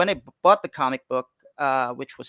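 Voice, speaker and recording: Recorded with a dry, close sound and no echo, a man's voice comes across with a bright, sharp tone. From Philippines, Quezon City. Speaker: comic book creator. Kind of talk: interview. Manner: halting, many fillers and restarts.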